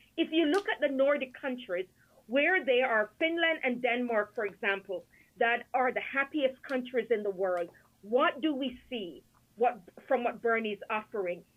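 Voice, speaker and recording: Her high pitch carries lively intonation as this woman speaks. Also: moderate pace. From Jamaica. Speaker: academic author. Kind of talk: political discussion. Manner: animated.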